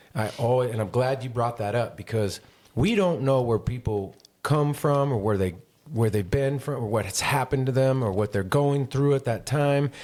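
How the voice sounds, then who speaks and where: A man with an American accent speaks in a normal speaking voice at medium pitch, with ordinary pitch variation and a moderate pace. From northern California, Grass Valley. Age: 40s. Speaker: podcast host. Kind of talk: casual chat.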